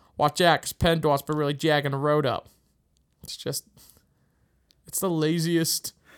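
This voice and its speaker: Speaking in a Pittsburgh accent at a fairly high pitch, a man talks at a moderate pace with flat, monotone intonation, long and frequent pauses, and big swings in loudness, all in a dry, close recording with no echo and a silent, very clean background. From Pittsburgh, US. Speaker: podcast host. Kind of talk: casual chat.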